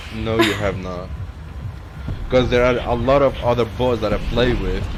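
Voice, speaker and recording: A man with a Kurdish accent speaks at medium pitch and a moderate pace with fairly even intonation, with audible room echo and music in the background. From Kurdistan. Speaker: gaming streamer. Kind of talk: casual gaming chat. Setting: live stream with online voice chat.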